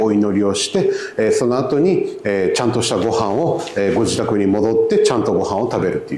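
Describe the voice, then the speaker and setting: Audible room echo hangs on the words of a man talking. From Japan, Kobe; Japan. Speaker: mosque volunteer and interpreter; presenter. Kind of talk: presentation to visitors. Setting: mosque with audience. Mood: friendly, explanatory. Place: church. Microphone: handheld.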